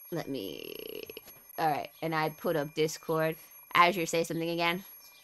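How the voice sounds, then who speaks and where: Noticeable background noise accompanies talking at a moderate rate. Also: woman. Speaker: vtuber streamer. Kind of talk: casual chat. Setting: live stream with co-host on Discord. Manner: loud.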